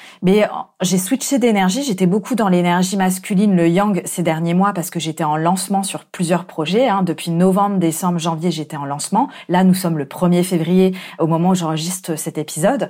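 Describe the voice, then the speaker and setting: On a very clean recording with a silent background, a woman at medium pitch speaks at a moderate pace in a dark, mellow tone with ordinary pitch variation. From France. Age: 30s. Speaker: life coach. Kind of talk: solo podcast monologue. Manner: hesitant, with fillers.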